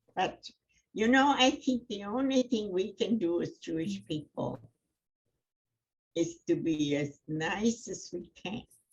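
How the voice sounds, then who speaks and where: A woman's somewhat breathy voice at a medium pitch, very slow, with very wide pitch swings and long, frequent pauses. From Germany, then England. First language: German. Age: 90s. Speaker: Holocaust survivor. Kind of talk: testimony. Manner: halting.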